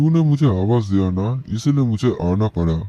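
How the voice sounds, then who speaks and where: A man performs a put-on character voice. He moves at a moderate pace. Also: medium pitch for a man. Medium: audio drama. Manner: tender, solemn.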